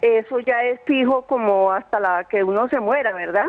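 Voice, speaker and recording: A woman's plain, everyday voice, fairly high in pitch, at a moderate pace. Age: 60s. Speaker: caller, retiree. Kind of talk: phone-in question. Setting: phone call.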